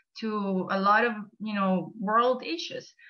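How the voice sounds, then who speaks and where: The speaker is a woman with a Venezuelan accent. She talks at a fairly slow pace. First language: Spanish. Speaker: nonprofit volunteer coordinator. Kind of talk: presentation.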